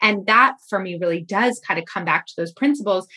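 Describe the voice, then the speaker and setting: Loud and bright, sharp in tone, the voice moves through ordinary pitch variation on a very clean recording with a silent background. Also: woman. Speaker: podcast host and fundraising coach. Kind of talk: interview.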